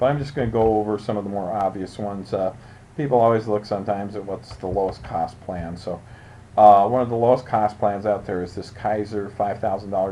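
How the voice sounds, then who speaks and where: This man has a fairly low pitch and fairly even intonation. He speaks at a fairly quick pace. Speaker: insurance agent. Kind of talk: tutorial. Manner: fast.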